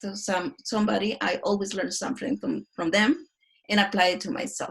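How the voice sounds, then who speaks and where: A woman speaks at a moderate pace with a fairly high pitch. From Mexico. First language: Spanish. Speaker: design researcher. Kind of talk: casual interview.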